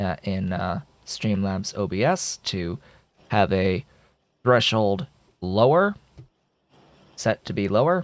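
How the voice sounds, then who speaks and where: At a very slow pace with long, frequent pauses, a man speaks in a fairly low pitch with ordinary pitch variation, on a very clean recording with a silent background and a dry, close sound with no echo. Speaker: gaming YouTuber. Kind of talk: gameplay commentary. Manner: varies between very soft and very loud; hesitant, frequent filler words.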